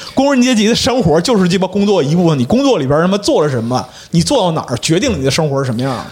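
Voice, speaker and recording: A man talks at a very fast pace in a high pitch, his voice swinging very widely up and down over noticeable background noise. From Liaoning, northeast China. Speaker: guest panelist. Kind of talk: casual chat.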